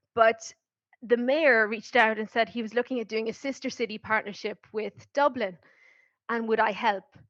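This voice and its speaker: Dry and close with no echo, a woman's fairly high voice with an Irish accent moves at a moderate pace with fairly even intonation. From Ireland. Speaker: marketing professional, program alumna. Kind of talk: podcast interview.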